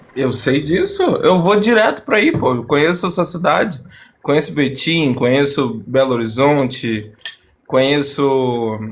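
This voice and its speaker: A man's fairly high voice, lively in intonation and very even in loudness, at a fairly slow pace with audible room echo. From Rio de Janeiro. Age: 20s. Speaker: debate participant. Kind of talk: casual chat.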